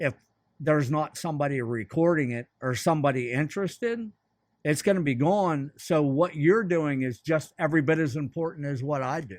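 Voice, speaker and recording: Against a quiet background, a man with an American accent and a plain, everyday voice speaks at a moderate pace and a fairly high pitch with ordinary pitch variation. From central Pennsylvania. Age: 60s. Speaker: fly shop owner. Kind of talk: casual chat.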